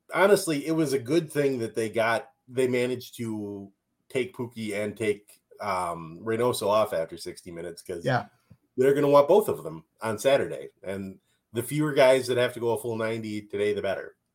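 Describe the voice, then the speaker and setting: Using lively intonation, a man with a Minnesotan accent speaks at a medium pitch and a moderate pace. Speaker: podcast co-host.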